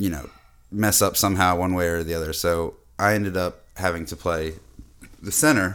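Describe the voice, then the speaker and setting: A man with an American accent speaks at a very deep, low pitch with fairly even intonation, recorded very cleanly against a silent background. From Boston, US. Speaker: podcast host. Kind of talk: casual chat.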